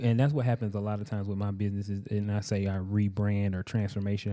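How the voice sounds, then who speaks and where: In a very clean recording with a silent background, a man with a Southern US accent and a dark, mellow tone speaks very fast in a fairly low pitch with fairly even intonation. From US South, rural Georgia. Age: 30s. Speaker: welder and entrepreneur. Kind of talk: casual chat. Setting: studio.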